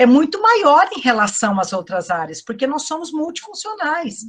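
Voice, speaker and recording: The woman's voice has a bright, sharp tone. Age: 60s. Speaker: psychologist and lecturer. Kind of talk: online lecture Q&A. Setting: online event.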